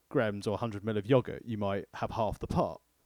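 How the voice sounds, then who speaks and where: Speaking fairly quickly with vocal fry and a southern English accent, a man is heard in a dry, close sound with no echo on a very clean recording with a silent background. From southeast England. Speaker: food podcast co-host. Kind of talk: casual chat.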